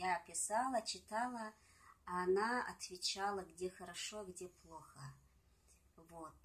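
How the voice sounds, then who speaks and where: Somewhat breathy, a woman speaks very slowly with long, frequent pauses and ordinary pitch variation. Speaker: singer and poet. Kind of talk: casual interview chat with poem reading. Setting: at home. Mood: calm, reflective. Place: home room. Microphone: phone near.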